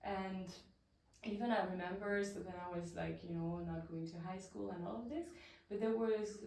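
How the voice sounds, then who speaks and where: Audible room echo surrounds a woman with a non-native accent who speaks at medium pitch with ordinary pitch variation. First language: not English. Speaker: women's coach and voice practice teacher. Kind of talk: interview, personal life story.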